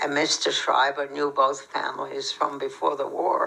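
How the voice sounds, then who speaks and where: A woman talks at a moderate pace. Noticeable background noise runs beneath her voice. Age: 90s. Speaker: Holocaust survivor. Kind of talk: testimony Q&A.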